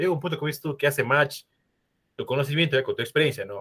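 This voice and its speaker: This is a man talking. His pitch sits fairly high. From Ecuador, Cuenca. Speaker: podcast host, industrial engineer. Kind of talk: interview.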